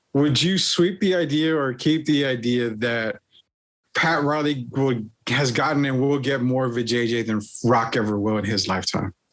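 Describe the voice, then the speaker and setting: Here a man speaks at a medium pitch. His pace is moderate and his pitch variation ordinary. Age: 40s. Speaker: sports podcast host. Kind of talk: promotional announcement; casual chat. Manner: animated.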